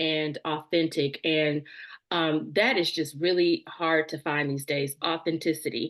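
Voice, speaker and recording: In a Southern US accent, a woman speaks at a fairly slow pace with a fairly low pitch. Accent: Southern twang. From US South. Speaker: podcast host. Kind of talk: interview conversation. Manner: hesitant, many fillers.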